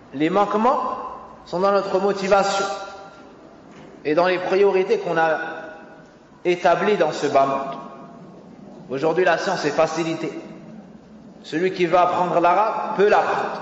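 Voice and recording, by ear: A man speaks at a fairly slow pace, with long, frequent pauses. His voice is high-pitched with ordinary pitch variation, and room echo is audible.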